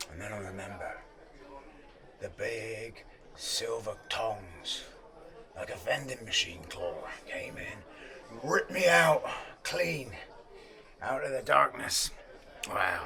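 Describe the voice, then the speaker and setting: A man puts on a raspy character voice, speaking at a fairly slow pace with long, frequent pauses. Clear background noise runs behind him. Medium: short film. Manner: rambling, wistful storyteller.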